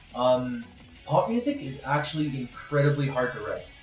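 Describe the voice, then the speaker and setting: Lively intonation comes through over music in the background and audible room echo. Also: man. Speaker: streamer. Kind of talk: casual chat. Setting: live stream.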